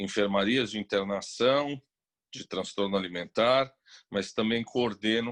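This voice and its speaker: In a dry, close recording with no echo and a quiet background, a man with an unremarkable speaking voice talks at a fairly slow pace with fairly even intonation. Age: 60s. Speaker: psychiatrist. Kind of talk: interview. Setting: video call.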